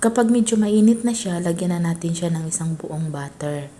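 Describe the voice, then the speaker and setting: Somewhat breathy and fairly low in pitch, a woman speaks with a dark, mellow tone. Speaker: cooking content creator. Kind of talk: cooking voice-over tutorial. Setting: voice-over.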